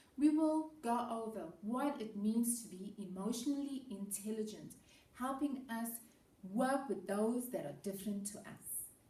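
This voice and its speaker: Audible room echo surrounds a woman's fairly high voice, which has a dark, mellow tone, ordinary pitch variation and big swings in loudness. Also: fairly slow pace. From South Africa. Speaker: educator. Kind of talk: presentation to students.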